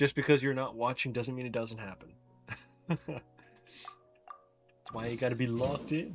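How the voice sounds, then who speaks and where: Over music in the background, a man talks at a moderate pace with ordinary pitch variation and long, frequent pauses. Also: medium pitch for a man. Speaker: gaming streamer. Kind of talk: casual livestream chat. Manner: casual, filler-heavy.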